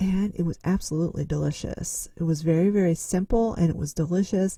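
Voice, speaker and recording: A woman's fairly low, somewhat breathy voice, dark and mellow in tone, at a fairly quick pace. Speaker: lifestyle vlogger. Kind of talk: casual vlog talk to camera. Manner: hesitant, many fillers.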